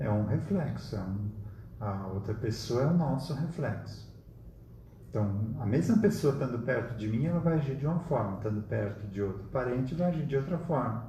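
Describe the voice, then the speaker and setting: A man's dark, mellow voice with vocal fry, medium pitch, lively intonation and a moderate pace, with audible room echo. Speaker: spiritist study group leader. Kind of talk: lecture. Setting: live stream.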